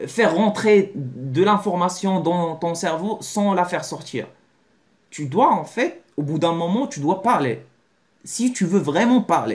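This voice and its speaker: A high-pitched man with a Moroccan accent, very slow pace and lively intonation. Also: very clean recording, silent background. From Morocco. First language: Moroccan Arabic (speaking French). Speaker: language learning youtuber. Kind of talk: video lesson to camera. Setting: talking to a camera. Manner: halting, many repetitions and self-corrections.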